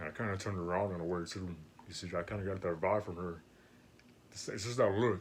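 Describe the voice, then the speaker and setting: A man at a very fast pace with a very deep, low pitch. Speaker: co-host of couple channel. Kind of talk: casual chat.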